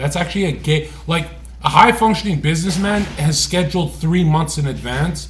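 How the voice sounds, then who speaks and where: Speaking at a moderate pace in an Albanian accent, a man is heard with noticeable background noise and audible room echo. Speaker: streamer. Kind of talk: casual chat. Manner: animated.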